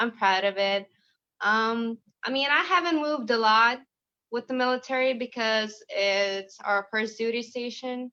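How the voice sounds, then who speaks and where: In a Lithuanian accent, a woman speaks fairly slowly at a fairly high pitch with ordinary pitch variation. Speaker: home baker, military spouse. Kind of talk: interview.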